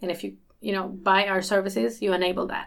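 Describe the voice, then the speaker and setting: Vocal fry marks a woman's medium-pitched voice as she talks at a very fast pace. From Sweden, Malmö. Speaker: company CEO and co-founder. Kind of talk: interview.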